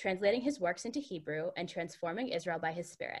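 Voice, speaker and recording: A normal speaking voice is heard against a quiet background. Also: woman. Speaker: program moderator. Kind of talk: formal introduction.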